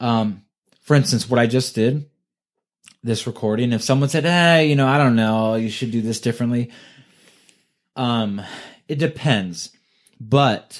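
The speaker has a Californian accent and a fairly slow pace with long, frequent pauses. Pitch varies in an ordinary way, and the recording is very clean with a silent background. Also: man, medium pitch for a man. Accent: Californian American. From US West Coast, California. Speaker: podcast host. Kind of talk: casual chat. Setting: home recording session.

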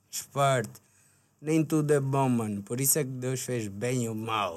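With an unremarkable speaking voice, a man speaks at a medium pitch and ordinary pitch variation. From Angola, Luanda. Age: 20s. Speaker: rapper. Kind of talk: casual chat. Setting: studio.

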